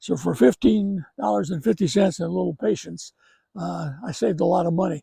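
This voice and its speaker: His voice is somewhat breathy with a dark, mellow tone, and he moves at a fairly quick pace through very wide pitch swings. The man's recording has a dry, close sound with no echo. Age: 80s+. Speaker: horticulturist, garden owner. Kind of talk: unscripted garden walk-through tutorial. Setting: outdoors in a garden. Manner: hesitant, many filler words.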